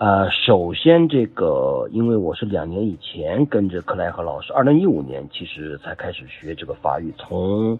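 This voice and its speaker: A man talks at a fairly slow pace. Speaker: French language student, wine importer. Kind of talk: testimony. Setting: group chat voice message. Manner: formal.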